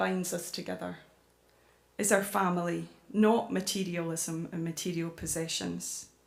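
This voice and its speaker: Speaking very slowly with a Scottish accent, a woman is heard with audible room echo. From Scotland, Glasgow / central Scotland. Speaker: climate campaigner and author. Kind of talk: public talk. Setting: church with audience.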